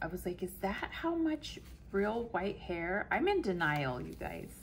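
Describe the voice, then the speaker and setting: A woman talks at a very slow pace over light background noise. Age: 40s. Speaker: planner YouTuber. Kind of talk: casual chat. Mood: amused, self-deprecating.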